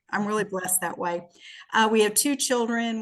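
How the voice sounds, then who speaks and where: With a Southern US accent, a woman speaks in fairly even intonation. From US South, Shreveport, Louisiana. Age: 60s. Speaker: businesswoman and podcast guest. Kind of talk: casual interview, personal testimony.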